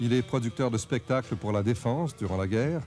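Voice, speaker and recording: Music plays in the background as a man talks. His voice sits at a medium pitch, with lively intonation. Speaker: documentary narrator. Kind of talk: TV documentary narration.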